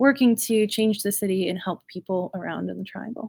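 A woman's unremarkable speaking voice with an American accent, medium in pitch, fairly even in intonation, on a very clean recording with a silent background. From North Carolina (Raleigh area). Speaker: community organizer. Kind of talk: interview.

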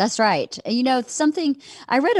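With lively intonation, a woman speaks in a Southern US accent, recorded with a dry, close sound with no echo and a quiet background. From Georgia, US South. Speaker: comedian's wife, podcast guest. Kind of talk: casual interview chat.

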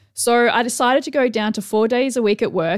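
Over a silent background in a very clean recording, a woman talks at a moderate pace. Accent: Australian. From Tasmania, Australia. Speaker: business coach and podcast host. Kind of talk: solo podcast monologue. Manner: casual, conversational with fillers.

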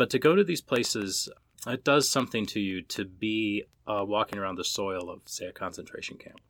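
Delivered at a fairly quick pace in a Minnesota accent, the speech has ordinary pitch variation and big swings in loudness. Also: man, fairly low pitch for a man, very clean recording, silent background. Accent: Minnesota American. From US Midwest, Minnesota. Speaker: author and professor. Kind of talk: interview. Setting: in-person recording.

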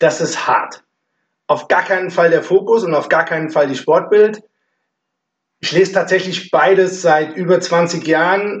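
A man with a high-pitched voice speaks at a fairly slow pace with fairly even intonation and long, frequent pauses. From Offenbach, Hesse, Germany. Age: 50s. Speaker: amateur football club chairman. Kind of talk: casual chat. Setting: basement room recording.

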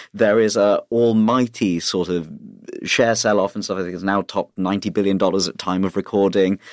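A man talks at a fairly quick pace in a fairly low pitch, monotone with flat intonation. The recording is very clean with a silent background, and the sound is dry and close with no echo. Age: 30s. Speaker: comedian. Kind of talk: casual chat. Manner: hesitant, many fillers.

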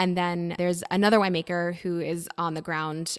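In a normal speaking voice, a woman with an American accent talks at a fairly low pitch with fairly even intonation, on a very clean recording with a silent background. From US. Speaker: sommelier and wine content creator. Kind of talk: casual interview chat.

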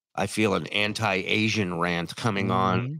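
At a moderate pace, a man talks in an animated tone with lively intonation. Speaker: livestream show host. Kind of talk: casual banter reacting to video clips. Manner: animated, joking.

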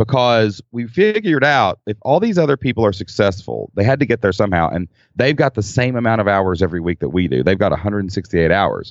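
This man speaks very fast in a Kentucky accent, his fairly low voice moving with lively intonation. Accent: Kentucky Southern. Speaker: entrepreneur, former school teacher. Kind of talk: casual interview chat. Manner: casual, chatty, joking.

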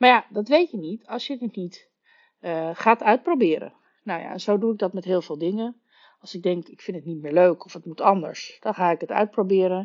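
A woman in an unremarkable speaking voice talks at a moderate pace and medium pitch, with ordinary pitch variation and big swings in loudness. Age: 40s. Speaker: podcast host, story coach. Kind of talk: solo podcast monologue.

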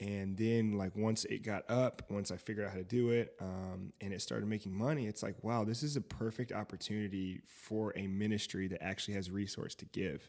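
A man with a plain, everyday voice and an American accent, fairly quick with hardly any pauses, fairly even intonation, on a very clean recording with a silent background. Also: fairly low pitch for a man. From US South, Fayetteville, North Carolina. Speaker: tech entrepreneur and DJ. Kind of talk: casual chat.

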